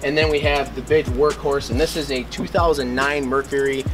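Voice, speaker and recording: Clear music sits in the background as a man speaks at a moderate pace. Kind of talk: casual vlog chat. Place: street.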